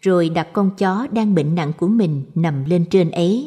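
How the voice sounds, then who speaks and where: A woman's somewhat breathy, dark and mellow voice at medium pitch, very slow in pace, with lively intonation. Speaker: audiobook narrator. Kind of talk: scripted narration of Buddhist short stories.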